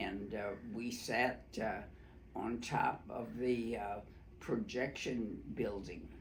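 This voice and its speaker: Speaking with an American accent, a man uses a medium pitch and vocal fry at a very slow pace, his intonation fairly even amid audible room echo. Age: 90s. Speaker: oral history interviewee. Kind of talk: oral history interview. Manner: halting, many fillers.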